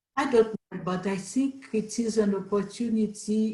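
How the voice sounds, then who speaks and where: A woman talks very slowly in a somewhat breathy voice. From Haiti. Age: 70s. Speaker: panel guest. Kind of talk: casual chat.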